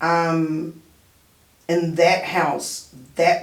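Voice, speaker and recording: With audible room echo, a woman speaks at a fairly low pitch in a New Zealand accent. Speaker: radio show host. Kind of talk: casual chat. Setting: radio studio.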